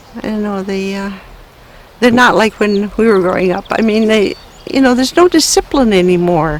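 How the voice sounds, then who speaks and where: Noticeable background noise sits behind a woman speaking. She moves at a moderate pace with lively intonation. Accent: American. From Ontario, Canada, then northern Wisconsin. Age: 80s+. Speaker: elderly local resident. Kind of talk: oral history interview. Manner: halting.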